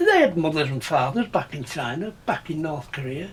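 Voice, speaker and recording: A man in an English accent speaks at a moderate pace with very wide pitch swings. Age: 80s+. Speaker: war veteran. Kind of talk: testimony. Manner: halting.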